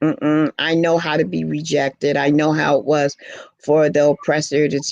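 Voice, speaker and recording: In an American accent, a woman speaks at a moderate pace with a very deep, low pitch, a dark, mellow tone and monotone, flat intonation, the sound dry and close with no echo. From New York, Harlem. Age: 60s. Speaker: dancer and poet. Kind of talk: interview.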